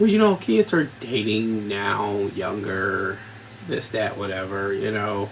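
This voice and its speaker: A man speaks very slowly while noticeable background noise carries on behind him. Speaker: podcast host. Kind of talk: casual monologue.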